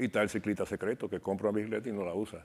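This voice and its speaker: This is a man's voice. He keeps a monotone, flat intonation. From Dominican Republic, Cibao region (La Vega/Santiago); Dominican Republic. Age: 60s. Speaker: bicycle shop owner and former competitive cyclist; interview guest. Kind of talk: interview. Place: studio. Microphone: lapel.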